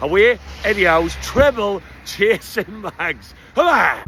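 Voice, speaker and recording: A man with a Geordie accent, over noticeable background noise. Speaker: football fan vlogger. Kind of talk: casual vlog. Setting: on a supporters bus. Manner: animated; loud.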